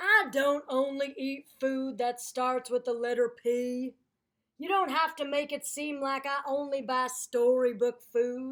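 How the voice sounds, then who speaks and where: Using a put-on character voice, a woman speaks at a high pitch with fairly even intonation and a fairly slow pace. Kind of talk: children's story read-aloud. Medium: read story. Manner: irritated, indignant.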